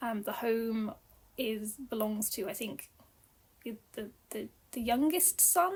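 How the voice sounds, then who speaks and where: A woman with a British accent at a fairly slow pace, fairly high in pitch with ordinary pitch variation, on a very clean recording with a silent background. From UK. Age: 30s. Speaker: book reviewer. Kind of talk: casual chat. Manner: hesitant, many fillers.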